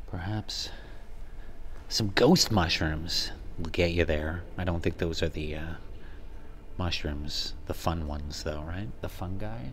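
A man's very deep, low voice, somewhat breathy, with ordinary pitch variation, a fairly slow pace, long and frequent pauses, and light background noise. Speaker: travel vlogger. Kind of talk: casual vlog commentary. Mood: playful, joking. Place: tunnel cave.

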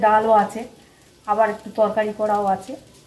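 Noticeable background noise is present while a woman talks. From Kolkata, West Bengal, India; West Bengal, India. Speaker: cooking channel host. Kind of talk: cooking tutorial. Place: kitchen. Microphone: camera far.

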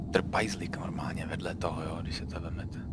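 Loud background noise fills the recording. Otherwise the sound is dry with no echo. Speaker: gamer. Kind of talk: casual gameplay commentary. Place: home room.

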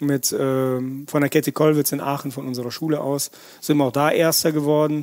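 A fairly high-pitched man at a moderate pace. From Russia, moved to Erkelenz area at nine. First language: Russian (speaking German). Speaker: chef. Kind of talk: podcast interview. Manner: animated, colloquial.

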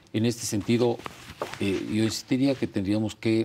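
A man's fairly low-pitched voice with a dark, mellow tone at a moderate pace. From Mexico, Oaxaca. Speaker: government auditor, economist; guest. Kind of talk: TV panel discussion. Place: studio.

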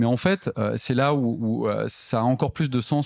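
Dry and close with no echo, the recording captures a man speaking at a moderate pace and medium pitch with ordinary pitch variation. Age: 30s. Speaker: entrepreneur, company cofounder. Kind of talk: interview conversation. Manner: hesitant, many fillers and repetitions.

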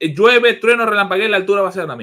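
A man speaks with a bright, sharp tone. The background is quiet. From Venezuela, Maracaibo; Venezuela. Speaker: sports journalist. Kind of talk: casual chat. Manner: halting, repeats words. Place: home room.

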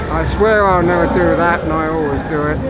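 Loud background noise behind a man's dry voice, free of any echo. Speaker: marathon runner. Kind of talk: post-race interview answer. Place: street.

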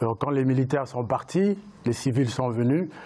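A man speaks at a fairly slow pace. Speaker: writer and entrepreneur. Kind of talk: panel discussion. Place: studio. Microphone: lapel.

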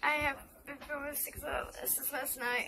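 A woman with an American accent, a raised, projected voice, a high pitch and ordinary pitch variation over noticeable background noise. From US South. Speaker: vlogger. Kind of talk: casual vlog. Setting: indoors by a heater. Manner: halting. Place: home room. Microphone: phone near.

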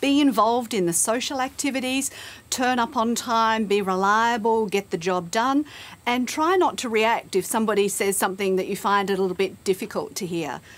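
This woman's voice sits fairly high. She talks at a moderate speed, with ordinary pitch variation. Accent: Australian. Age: middle-aged. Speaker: career expert; guest. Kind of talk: TV interview. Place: studio.

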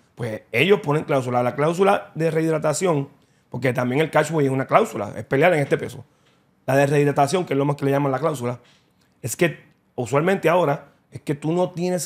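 Against a quiet background, a man talks at a fairly quick pace, his fairly high pitch showing ordinary variation. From Puerto Rico. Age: 40s. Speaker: boxing content creator. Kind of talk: casual interview. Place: studio. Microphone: studio mic.

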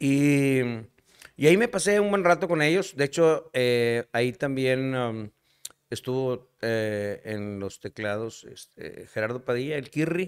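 A man of medium pitch speaks at a very slow pace, his intonation lively. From Nuevo León, Mexico. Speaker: singer-songwriter. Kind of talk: casual chat. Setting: bar.

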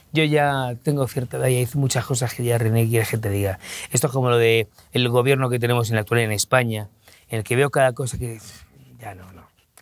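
Speaking very fast in a Madrid accent, a man keeps his intonation fairly even while his loudness swings widely, all in a dry sound with no echo. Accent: Castilian Spanish (Madrid). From Spain, Madrid. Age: 50s. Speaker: interview guest, journalist. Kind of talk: interview. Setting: hotel recording studio. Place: studio. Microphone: lapel.

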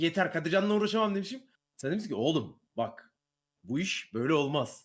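Very wide pitch swings mark a man's speech, delivered at a fairly quick pace. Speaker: streamer. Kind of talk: casual chat.

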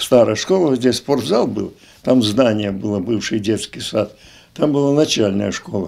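Dark, mellow tone from a man, with lively intonation and a very slow pace. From southern Russia, Adygea; southern Russia. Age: 80s+. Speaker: retired school director; interviewee. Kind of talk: interview reminiscence. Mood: reminiscing, conversational. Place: home room. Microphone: handheld.

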